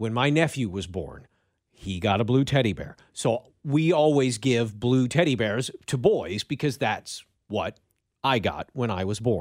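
This is a normal speaking voice with lively intonation. The recording is very clean, with a silent background. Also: man, medium pitch for a man. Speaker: radio co-host. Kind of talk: casual talk radio chat.

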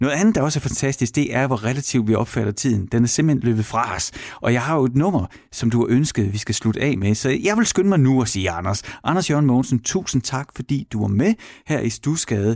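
A man with an unremarkable speaking voice talks at a medium pitch and a fairly quick pace, his intonation lively, on a very clean recording with a silent background. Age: 40s. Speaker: radio host. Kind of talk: casual chat.

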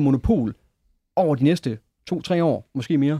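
With lively intonation and a dark, mellow tone, a man talks at fairly high pitch, captured on a very clean recording with a silent background and a dry, close sound with no echo. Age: 30s. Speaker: tech investor and engineer. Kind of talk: studio discussion. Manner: halting, frequent repeated words.

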